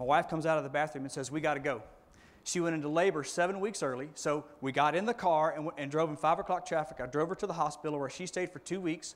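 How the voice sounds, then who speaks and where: On a very clean recording with a silent background, a man with a fairly high pitch talks at a very fast pace with fairly even intonation. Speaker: business owner and network marketing distributor. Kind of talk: motivational speech. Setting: stage with audience. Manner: repetitive, halting fillers.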